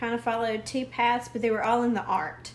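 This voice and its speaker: A woman's fairly high voice with a strong Southern US accent. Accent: thick Southern US. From US South. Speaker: art teacher. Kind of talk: live-stream drawing lesson. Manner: casual, hesitant with many fillers.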